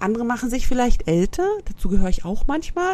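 A woman's voice sounds somewhat breathy, dark and mellow. Her pitch swings very widely. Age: 40s. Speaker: podcast host. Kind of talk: casual chat.

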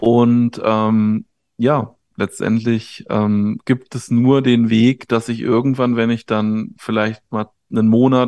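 Very slow, monotone speech with flat intonation, in a dry, close sound with no echo against a quiet background. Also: man. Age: 30s. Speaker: life coach. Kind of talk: casual interview.

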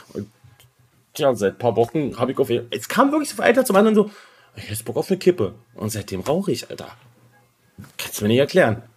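Somewhat breathy, a man at medium pitch speaks at a very fast pace with very wide pitch swings and long, frequent pauses. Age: 30s. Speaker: podcaster. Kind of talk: casual chat.

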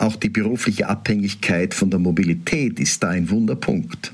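A man with a fairly low pitch talks at a moderate pace in a normal speaking voice. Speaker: Protestant pastor. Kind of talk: radio devotional reflection.

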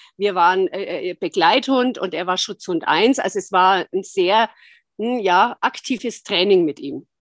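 In a normal speaking voice, a woman talks fairly slowly at a medium pitch with ordinary pitch variation, recorded dry and close with no echo. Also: very clean recording, silent background. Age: 60s. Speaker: osteopath and dog owner. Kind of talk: interview.

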